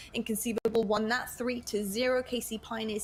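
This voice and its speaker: A woman of medium pitch speaks with a British accent while music plays in the background. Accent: British, still there. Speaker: esports broadcast host. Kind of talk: live esports panel commentary.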